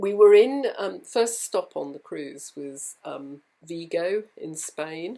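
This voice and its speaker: The recording is very clean, and the background is silent. A woman talks in a British accent. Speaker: home sewist and vlogger. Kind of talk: casual talk to camera.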